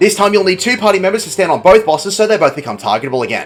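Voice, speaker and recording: A man talks at a very fast pace with lively intonation and a high pitch. Music plays in the background. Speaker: game guide narrator. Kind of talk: video game tutorial narration.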